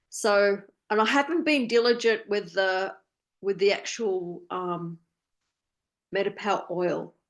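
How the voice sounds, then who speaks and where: Speaking at a fairly slow pace with long, frequent pauses, a woman has an Australian accent. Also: medium pitch for a woman, ordinary pitch variation. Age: 60s. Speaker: wellness program participant. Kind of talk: casual chat. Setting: video call. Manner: halting.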